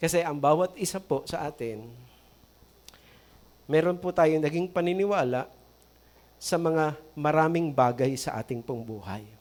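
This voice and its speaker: Lively intonation from a man with a fairly high pitch for a man, a fairly slow pace and long, frequent pauses. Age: 60s. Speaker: pastor. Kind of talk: sermon.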